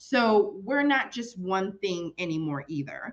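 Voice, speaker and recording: This speaker, in a Spanish accent, talks at a fairly slow pace with very wide pitch swings. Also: woman. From Chicago, US Midwest. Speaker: children's librarian. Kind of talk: presentation.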